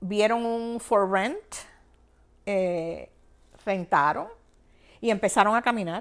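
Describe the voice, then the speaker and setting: A woman with a Cuban accent speaks at a very slow pace, with ordinary pitch variation. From Cuba, Havana province. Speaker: banking executive. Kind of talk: interview, personal life story.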